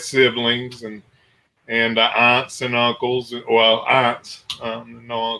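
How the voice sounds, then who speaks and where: This is a man's voice. His intonation is flat and monotone. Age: 60s. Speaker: radio station owner and documentary maker. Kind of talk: interview on a radio show. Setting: radio show.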